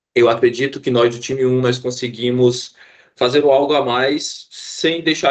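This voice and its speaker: This man's voice sits at medium pitch. His intonation is monotone and flat. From Fortaleza, Ceará, Brazil. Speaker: IT student and trainee. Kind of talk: team project presentation. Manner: halting, with frequent repetitions and fillers.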